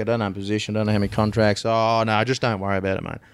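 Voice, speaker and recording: A man in an Australian accent at a very fast pace, monotone and flat in intonation, in a very clean recording with a silent background. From Australia, Swan Hill, Victoria. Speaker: agricultural blockchain startup CEO. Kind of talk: interview.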